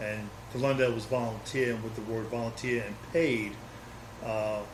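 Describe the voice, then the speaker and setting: A man speaks with ordinary pitch variation. Noticeable background noise and audible room echo surround his voice. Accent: New York. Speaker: former volunteer firefighter and community historian. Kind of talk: oral history interview.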